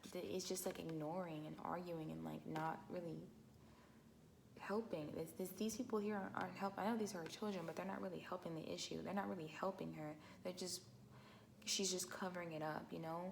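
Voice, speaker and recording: With audible room echo, a woman speaks at a fairly quick pace in a fairly low pitch with vocal fry. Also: ordinary pitch variation. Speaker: tarot reader. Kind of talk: tarot reading. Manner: halting, many fillers.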